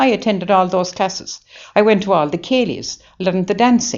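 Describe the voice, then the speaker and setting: This woman speaks in a Waterford accent. Her pitch is medium and her pace moderate. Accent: Irish, Waterford. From Ireland, County Waterford. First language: Irish. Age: 80s+. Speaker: nun. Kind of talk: interview. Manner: halting; animated.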